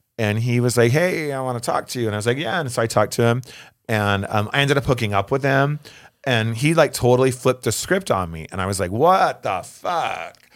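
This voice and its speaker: A man with a plain, everyday voice talks at a medium pitch and fairly quick pace, his intonation lively, in a very clean recording with a silent background. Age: 40s. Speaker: drag performer. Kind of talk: casual chat.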